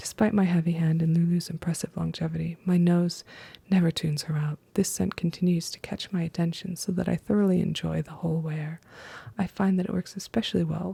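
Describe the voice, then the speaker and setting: The voice is soft-spoken. The pace is fairly quick. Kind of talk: ASMR perfume review. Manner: soft-spoken, quiet.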